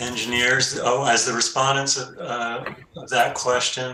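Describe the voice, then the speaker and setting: A man talks at a medium pitch with fairly even intonation. Audible room echo surrounds his voice. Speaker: cross-examining party. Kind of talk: cross-examination in regulatory hearing.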